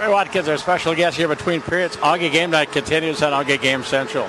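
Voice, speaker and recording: Over noticeable background noise, a man with an American accent speaks in a high voice with fairly even intonation. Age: 60s. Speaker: sports broadcaster. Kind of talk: broadcast announcing; radio sports interview.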